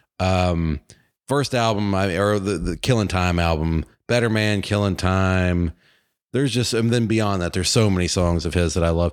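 Recorded very cleanly against a silent background, a man with an American accent speaks at a moderate pace in a very deep, low pitch, his loudness very even. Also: ordinary pitch variation. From Virginia. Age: 40s. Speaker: podcast host. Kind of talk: casual chat.

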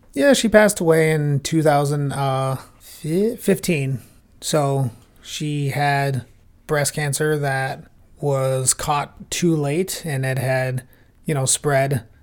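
Very slowly, a man speaks in an American accent. His pitch is fairly high, with ordinary pitch variation. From Minnesota, Plymouth. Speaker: podcast guest, podcast co-host elsewhere. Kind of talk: casual chat.

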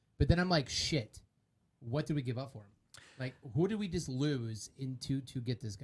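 A man at medium pitch and a moderate pace, somewhat breathy, with big swings in loudness. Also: lively intonation. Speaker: podcast co-host. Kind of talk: casual sports banter.

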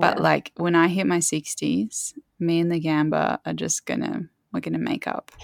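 A woman with an Australian accent speaks at a moderate pace, her voice sounding dry and close with no echo. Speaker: composer. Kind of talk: casual chat.

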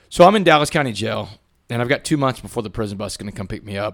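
A man with a Texan accent talks very fast in an animated tone. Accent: Texan Southern US. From Southeast Texas, Port Arthur. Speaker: former inmate turned motivational speaker. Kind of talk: interview testimony.

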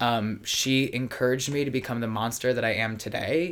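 His pace is moderate. This man keeps his intonation fairly even. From US Mid-Atlantic, Baltimore. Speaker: drag performer. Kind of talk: casual chat. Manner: halting, many fillers.

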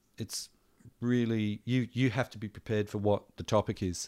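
A man with an Australian accent at a fairly slow pace. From Adelaide, South Australia. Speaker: musician, singer-songwriter. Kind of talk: casual interview chat. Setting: home recording studio.

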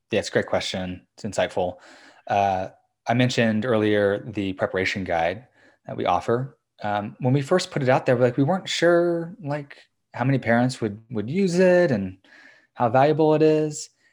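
Very wide pitch swings at a moderate pace with a General American accent, on a very clean recording with a silent background. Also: man, medium pitch for a man. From US, suburbs of Washington, D.C. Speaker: education company co-founder. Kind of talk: interview.

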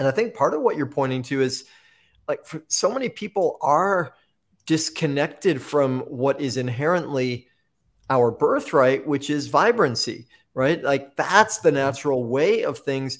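Lively intonation and an enthusiastic tone carry this man's fairly slow delivery, captured in a very clean recording with a silent background. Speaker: podcast host. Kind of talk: interview conversation.

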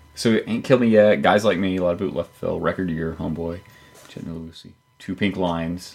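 Mumbling in a put-on character voice, a man talks fairly quickly at a very deep, low pitch, with ordinary pitch variation and big swings in loudness.

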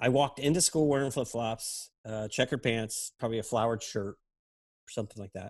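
In a quiet background, a man talks at a medium pitch with ordinary pitch variation and an unremarkable speaking voice. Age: 50s. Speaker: advertising creative director. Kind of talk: casual chat.

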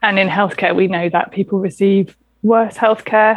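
In a southern English accent, a woman speaks at a moderate pace. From southern England, St Albans. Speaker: doctor. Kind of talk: interview.

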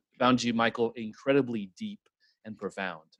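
A man with a plain, everyday voice moves at a fairly quick pace, his intonation lively. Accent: American. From Midland, Texas. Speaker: podcast co-host. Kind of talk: casual chat. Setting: video call.

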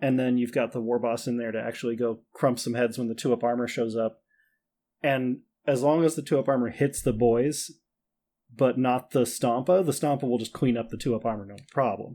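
In a very clean recording with a silent background, a man with an American accent speaks at a fairly quick pace. His medium-pitched voice has a dark, mellow tone. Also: fairly even intonation. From Minnesota. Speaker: tabletop wargame player. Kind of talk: casual chat.

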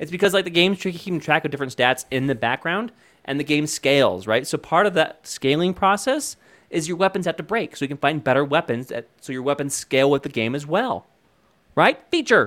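A fairly high-pitched man speaks at a fairly quick pace with lively intonation, in a very clean recording with a silent background. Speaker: podcast co-host, former game developer. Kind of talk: casual chat. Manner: fast talker.

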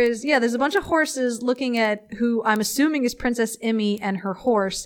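A woman's high voice at a moderate pace, with ordinary pitch variation and noticeable background noise. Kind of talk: casual chat. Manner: animated. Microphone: crackling voice track.

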